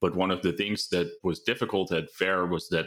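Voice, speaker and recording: A man's very deep, low voice with a Dutch accent and fairly even intonation. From Netherlands. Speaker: AI research lead. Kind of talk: interview. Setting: video call from home.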